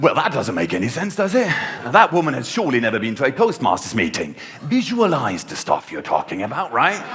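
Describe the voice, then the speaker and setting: Over noticeable background noise, a man rattles along at a very fast pace in a fairly high pitch, making very wide pitch swings. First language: not English. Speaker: contest speaker. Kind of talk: humorous speech. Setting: stage with audience. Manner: animated.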